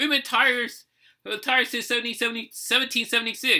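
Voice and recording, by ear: At a moderate pace, a man with an American accent speaks at an extremely high pitch, his bright, sharp tone showing ordinary pitch variation.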